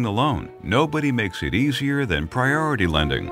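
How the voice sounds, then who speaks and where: Over clear background music, a man talks at a moderate pace with very wide pitch swings. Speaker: voice actor. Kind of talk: phone on-hold message.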